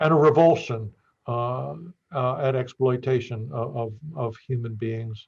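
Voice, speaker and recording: Somewhat breathy, a man with an American accent talks at medium pitch with ordinary pitch variation. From northeastern Pennsylvania. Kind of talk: interview. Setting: podcast. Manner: halting, many fillers.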